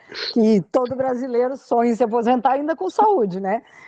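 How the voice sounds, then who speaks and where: A woman's speech, at a moderate pace and with ordinary pitch variation, sits over noticeable background noise. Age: 60s. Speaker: podcast guest, retired financial analyst. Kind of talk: casual interview.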